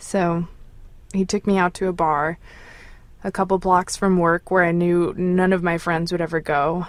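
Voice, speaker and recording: In an American accent, a woman speaks at a moderate pace with a fairly low pitch, monotone, flat intonation and long, frequent pauses, on a very clean recording with a silent background. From United States. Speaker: caller telling a personal story. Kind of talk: personal storytelling.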